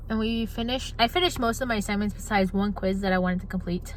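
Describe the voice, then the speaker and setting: A woman talks very fast in a fairly high voice, with audible echo from the room. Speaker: college student vlogger. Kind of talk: casual vlog. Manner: animated.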